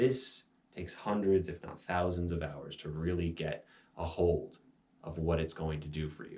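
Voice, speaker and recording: This man has a very deep, low pitch. His voice is somewhat breathy. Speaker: meditation teacher. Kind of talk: instructional talk on meditation. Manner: slowed, meditative voice at times.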